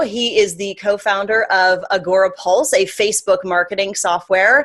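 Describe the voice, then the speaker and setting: The woman has an ordinary speaking voice, medium in pitch, with a moderate pace and fairly even intonation. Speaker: marketing interviewer. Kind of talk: interview host questions.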